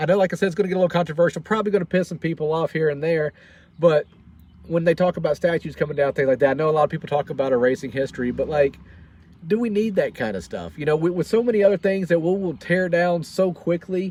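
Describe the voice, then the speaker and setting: Talking at a very fast pace with a Tennessee accent, a man uses a high pitch with ordinary pitch variation, in a dry, close sound with no echo. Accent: Southern US (Tennessee). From US South, Franklin, Tennessee. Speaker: military veteran and vlogger. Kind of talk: casual livestream monologue. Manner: halting, many repeated words.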